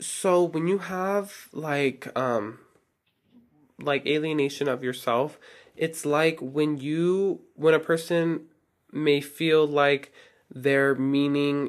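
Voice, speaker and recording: The pace is very slow, with fairly even intonation. The recording is very clean, and the background is silent. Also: man. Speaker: solo podcast host. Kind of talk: casual monologue. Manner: casual with many fillers.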